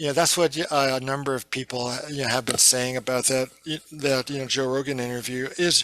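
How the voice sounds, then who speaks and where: Over noticeable background noise, a man speaks fairly quickly at a medium pitch with monotone, flat intonation. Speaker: psychedelic researcher and author. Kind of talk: podcast interview. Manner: halting.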